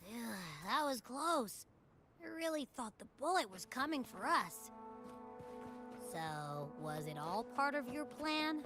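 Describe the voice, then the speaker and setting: In a put-on character voice, a female-sounding speaker uses a high pitch with very wide pitch swings, talking at a fairly slow pace with long, frequent pauses while clear music plays in the background. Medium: video game. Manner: bubbly, energetic.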